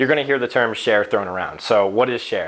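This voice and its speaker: His pitch rises and falls in a normal way. This man's words come out at a very rapid rate. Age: 20s. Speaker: finance explainer YouTuber. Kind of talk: casual tutorial. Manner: fast; casual, filler-heavy.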